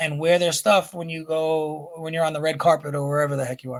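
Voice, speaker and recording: A man speaks with a New York accent. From New York, Brooklyn. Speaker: rapper and children's book author. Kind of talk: casual interview chat. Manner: animated.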